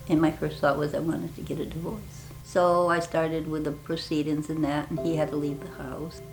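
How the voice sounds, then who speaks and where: A woman's very deep, low voice with an American accent and flat, monotone intonation, music playing in the background. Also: fairly quick pace, hardly any pauses. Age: 70s. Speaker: grandmother interviewed in a short documentary. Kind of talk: personal testimony. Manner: halting, conversational.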